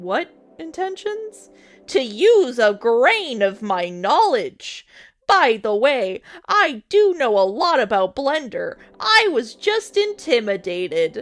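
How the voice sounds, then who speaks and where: A put-on, pompous character voice, female-sounding and high-pitched, at a fairly slow pace with very wide pitch swings and faint music behind. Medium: read story. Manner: pompous, argumentative.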